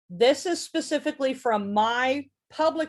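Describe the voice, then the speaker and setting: A woman speaks in a plain, everyday voice with lively intonation. The recording is very clean, with a silent background. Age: 40s. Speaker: presenter teaching witchcraft. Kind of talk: lecture.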